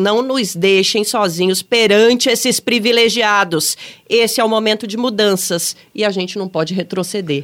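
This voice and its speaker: With a normal speaking voice, a woman talks at a moderate pace and fairly high pitch, her intonation lively. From Brasília. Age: 40s. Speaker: podcast host. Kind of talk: casual political chat.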